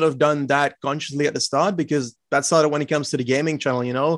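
A man talks at a very fast pace with a slight Flemish accent. His intonation is fairly even. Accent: light Flemish-accented English. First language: Dutch. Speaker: cycling podcast co-host and YouTuber. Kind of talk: casual interview.

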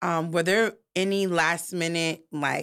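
A woman with an American accent speaks at a fairly slow pace in a very clean recording with a silent background. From New York. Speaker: podcast host. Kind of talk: interview.

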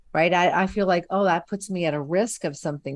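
A woman talks fairly quickly in a normal speaking voice, her pitch fairly low. Her pitch variation is ordinary, and the background is quiet. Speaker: podcast co-host. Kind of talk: casual chat.

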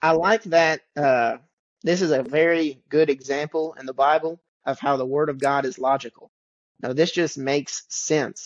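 A man with a Southern US accent at a moderate pace, with a fairly high pitch and ordinary pitch variation. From western Kentucky. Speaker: preacher. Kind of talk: casual Bible study discussion.

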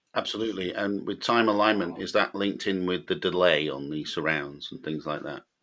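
Speaking at a fairly quick pace, a man has a very deep, low pitch, a bright, sharp tone and ordinary pitch variation. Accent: British. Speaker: podcast host. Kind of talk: casual chat. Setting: video call.

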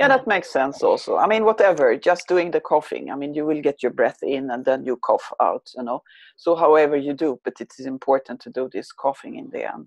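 The speech runs at a fairly quick pace. There are hardly any pauses. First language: not English. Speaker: trauma and stress consultant. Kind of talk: guided breathing exercise. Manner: halting.

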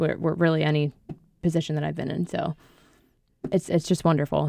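Her pitch very deep and low, a woman with an American accent speaks in a monotone, flat intonation. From New Jersey. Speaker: golf club membership and marketing coordinator. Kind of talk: radio interview. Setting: radio studio.

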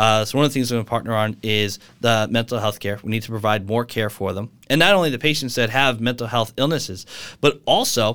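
A man with an American accent and a plain, everyday voice, medium in pitch, at a fairly quick pace with ordinary pitch variation, on a very clean recording with a silent background. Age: 30s. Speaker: EMT and nurse running for Congress. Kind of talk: interview. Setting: studio, in person.

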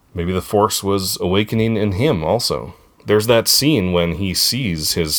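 The pitch shows ordinary variation. It is a natural reading voice.

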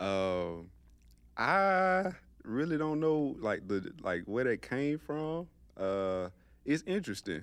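A man with a Georgia accent talks at a very slow pace, with long, frequent pauses and very wide pitch swings, on a very clean recording with a silent background. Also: medium pitch for a man. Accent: Southern US, Georgia. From US South, LaGrange, Georgia. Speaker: podcast guest. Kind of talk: casual chat.

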